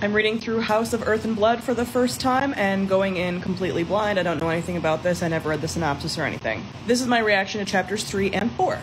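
Over noticeable background noise, a woman talks at a very fast pace with hardly any pauses and ordinary pitch variation. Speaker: book reviewer. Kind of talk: casual vlog chat. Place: home room. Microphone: phone near.

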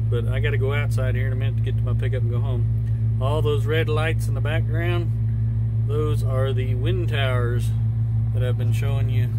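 Loud background noise surrounds a man talking at a moderate pace, the sound dry with no echo. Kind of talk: casual vlog chat. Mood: calm, relaxed narration. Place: farm machine. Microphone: phone near.

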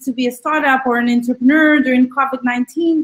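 Here a woman speaks at a high pitch. Her intonation is monotone and flat. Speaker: accelerator managing director, entrepreneur. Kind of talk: panel discussion, online AMA. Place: home room. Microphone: video call.

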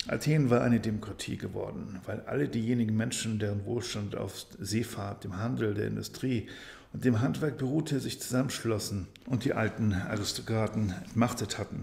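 A man's fairly low-pitched voice with vocal fry, at a moderate pace. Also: ordinary pitch variation. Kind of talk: bedtime story reading.

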